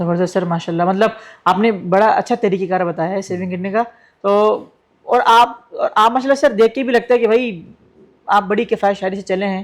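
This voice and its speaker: A man talks in a high pitch at a moderate pace with fairly even intonation. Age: 20s. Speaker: podcast host. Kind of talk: podcast interview.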